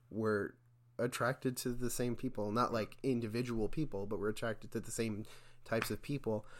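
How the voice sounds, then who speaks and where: A man's medium-pitched voice with fairly even intonation, on a very clean recording with a silent background. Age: 20s. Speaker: podcast guest. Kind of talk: casual chat. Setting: small apartment home studio. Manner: halting, many fillers.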